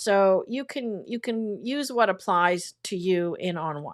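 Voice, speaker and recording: A woman talks at a fairly slow pace in an unremarkable speaking voice, medium in pitch with lively intonation. The recording is very clean, with a silent background. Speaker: photography teacher. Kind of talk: livestream tutorial. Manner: casual.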